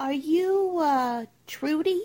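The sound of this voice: A woman's put-on character voice, high in pitch, with a slightly mellow tone, lively intonation and a very slow pace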